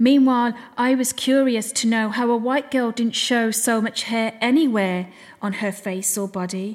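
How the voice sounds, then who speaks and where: A fairly high-pitched woman with a British accent, at a moderate pace with ordinary pitch variation. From England. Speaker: poet and podcaster. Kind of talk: spoken word poetry, performed rhyming poem. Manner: rhythmic, rhyming delivery; emotional, reflective.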